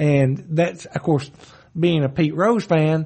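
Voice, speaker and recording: A somewhat breathy man with a fairly high voice talks at a moderate pace. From western Kentucky, Marshall County. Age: 50s. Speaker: circuit court judge. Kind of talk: casual interview.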